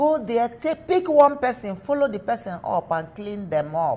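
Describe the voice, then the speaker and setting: In an animated tone, a woman with a fairly high pitch speaks at a moderate pace. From Nigeria. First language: not English. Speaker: small business owner. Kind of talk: interview. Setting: studio. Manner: halting.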